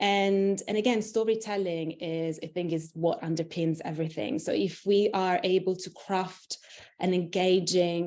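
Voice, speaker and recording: This woman has a fairly low pitch and a dark, mellow tone with an Italian accent. She talks at a moderate pace with fairly even intonation. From Italy. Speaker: internal communications executive. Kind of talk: interview. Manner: halting, many fillers.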